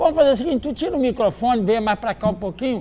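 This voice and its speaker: A man talks at a very fast pace in an extremely high pitch with ordinary pitch variation. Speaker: TV host. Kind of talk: TV interview. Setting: TV studio.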